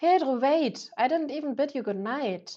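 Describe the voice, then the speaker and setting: Against a quiet background, a woman with a non-native accent speaks at a moderate pace, her pitch swinging very widely. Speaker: author reading own novel. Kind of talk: audiobook fiction reading. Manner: occasional stumbles over words.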